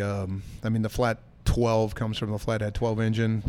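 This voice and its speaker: A normal speaking voice moves at a fairly quick pace with fairly even intonation. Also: man. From Michigan, US Midwest. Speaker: brewer. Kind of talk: casual chat. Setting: pub.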